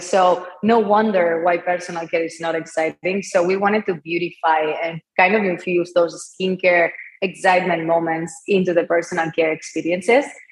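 A woman with a Spanish accent speaks at a moderate pace in a fairly low, monotone voice with flat intonation. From Spain, Barcelona. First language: Spanish or Catalan. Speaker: entrepreneur, company founder. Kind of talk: interview.

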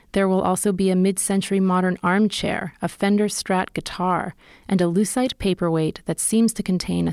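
A woman with an American accent and a plain, everyday voice speaks in a medium pitch at a moderate pace with fairly even intonation, the sound dry and close with no echo on a very clean recording with a silent background. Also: hardly any pauses, very even loudness. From California. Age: 40s. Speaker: podcast host and reporter. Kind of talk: scripted narration.

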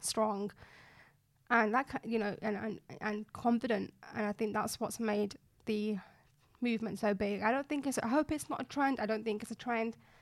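A Yorkshire accent at a moderate pace. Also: woman. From West Yorkshire, Bradford. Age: 20s. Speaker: fashion blogger and influencer. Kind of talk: interview.

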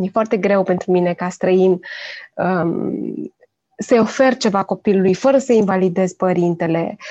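A dark, mellow tone carries this voice at a fairly slow pace. Pitch variation is ordinary. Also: woman, medium pitch for a woman. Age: 40s. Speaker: parenting blogger and children's author. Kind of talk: casual chat.

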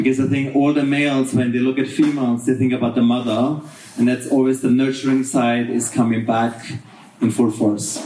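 Over noticeable background noise, a man talks at a fairly quick pace in a medium pitch, his intonation monotone and flat and his loudness very even. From Austria. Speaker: hotel manager. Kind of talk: panel discussion. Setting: stage with audience.

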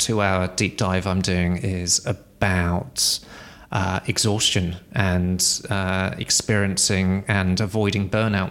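A man with an English accent, fairly low-pitched, at a very slow pace and with fairly even intonation. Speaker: podcast co-host. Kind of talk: casual chat. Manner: halting.

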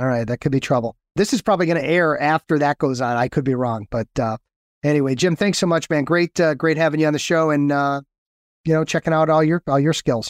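A man speaks in a normal speaking voice, fairly high-pitched and at a fairly quick pace, with ordinary pitch variation. The sound is dry and close with no echo, on a very clean recording with a silent background. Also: very even loudness. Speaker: podcast host and lawyer coach. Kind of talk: casual interview chat.

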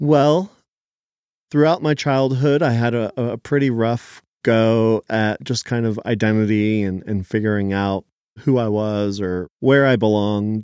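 A man speaks at a fairly slow pace with an American accent, in a plain, everyday voice of medium pitch and ordinary pitch variation, recorded very cleanly against a silent background with a dry, close sound and no echo. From Philadelphia area, US. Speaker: chef and restaurant owner. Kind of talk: interview.

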